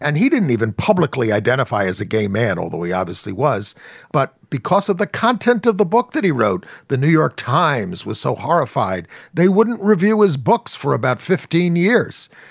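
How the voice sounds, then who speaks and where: A man with vocal fry speaks at a fairly high pitch and a moderate pace, his pitch swinging very widely. The recording is very clean with a silent background, and the sound is dry and close, with no echo. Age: 60s. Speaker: journalist and activist. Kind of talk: interview.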